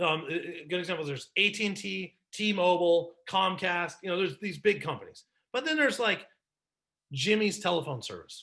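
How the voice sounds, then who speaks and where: A man talks very fast in a raised, projected voice, his tone animated, bright and sharp, with ordinary pitch variation. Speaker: business consultant and presenter. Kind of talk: webinar presentation.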